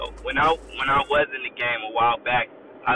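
A man speaks at a moderate pace. Music is in the background. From US West Coast, San Diego. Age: 30s. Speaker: podcast host, former pimp turned advocate. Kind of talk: casual chat. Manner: halting.

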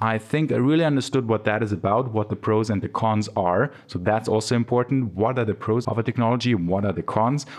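With a non-native accent, a man of medium pitch talks at a fairly quick pace, his loudness very even and his pitch variation ordinary, against a quiet background. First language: not English. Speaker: podcast host, software developer. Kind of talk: solo podcast monologue, tips. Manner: casual, conversational with fillers.

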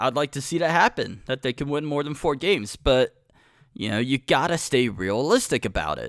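Using an American accent, a man speaks in an enthusiastic tone with vocal fry. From Cincinnati, Ohio. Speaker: podcast host. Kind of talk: casual solo podcast rant. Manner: halting, stutters, repeats words; conversational, enthusiastic.

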